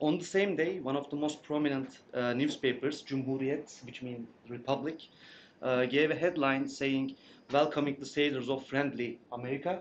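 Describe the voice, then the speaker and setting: With a Turkish accent, a man with a fairly high pitch talks over light background noise. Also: fairly even intonation, moderate pace. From Turkey. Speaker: graduate student presenter; presenter. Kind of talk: conference presentation. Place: meeting room. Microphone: camera far.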